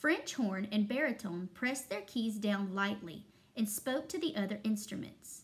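Ordinary pitch variation in plain reading aloud.

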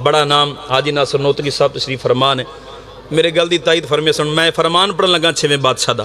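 Light background noise sits behind a man speaking. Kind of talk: sermon. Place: hall. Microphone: handheld.

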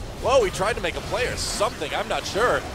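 A man is speaking. Music plays in the background. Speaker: esports commentator. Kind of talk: live esports play-by-play commentary, rapid calls of fights and kills. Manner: fast, excitable play-by-play with sudden exclamations; rapid-fire clipped calls naming player after player.

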